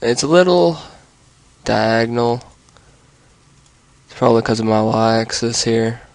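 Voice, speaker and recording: Over noticeable background noise, a man at a medium pitch speaks at a fairly slow pace with ordinary pitch variation and long, frequent pauses. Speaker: video tutorial maker. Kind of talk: tutorial. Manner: casual.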